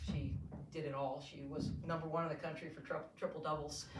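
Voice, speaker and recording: Spoken at a fairly quick pace with fairly even intonation, the voice carries audible room echo. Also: woman. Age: 70s. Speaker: college volleyball head coach. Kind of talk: press conference. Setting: press conference.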